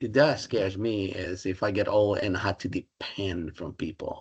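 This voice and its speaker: A man with a Spanish accent talks at a moderate pace, his fairly low voice somewhat breathy. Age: 60s. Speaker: Spanish professor. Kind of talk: interview. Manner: halting.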